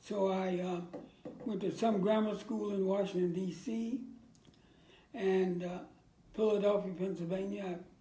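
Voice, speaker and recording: A high-pitched man with an American accent and a dark, mellow tone, fairly slow with long, frequent pauses, fairly even intonation, and audible room echo. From Virginia, US South. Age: 80s+. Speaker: war veteran. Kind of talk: interview.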